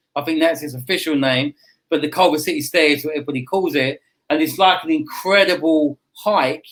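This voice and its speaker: At a fairly quick pace, a man talks with fairly even intonation. His pitch is fairly high. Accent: English. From United Kingdom. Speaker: real estate agent. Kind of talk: interview answer. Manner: casual, chatty.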